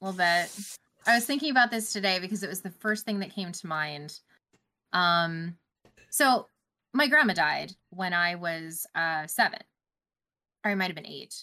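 In a very clean recording with a silent background, a woman with a Canadian accent speaks at a medium pitch with a bright, sharp tone, lively intonation, big swings in loudness and long, frequent pauses. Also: moderate pace. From Canada. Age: 30s. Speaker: gaming news podcaster. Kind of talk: casual chat.

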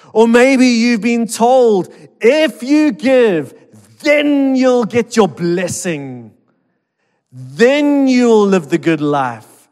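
At a very slow pace, a man talks in a high pitch with very wide pitch swings. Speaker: pastor. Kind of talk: sermon. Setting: church. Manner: loud.

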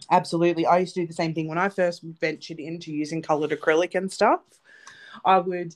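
In an Australian accent, a woman talks at a very fast pace and a fairly low pitch. The background is quiet. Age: 30s. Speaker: nail technician and podcast co-host. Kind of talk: casual chat.

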